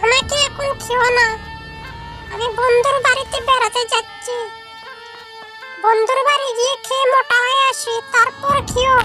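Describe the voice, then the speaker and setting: Over clear background music, a cartoonish character voice at extremely high pitch talks at a fairly slow pace. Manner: polite, persuasive.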